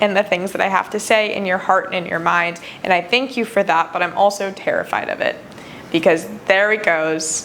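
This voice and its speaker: A woman speaks with fairly even intonation against noticeable background noise. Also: medium pitch for a woman, moderate pace. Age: 20s. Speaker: podcast host. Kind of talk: personal monologue.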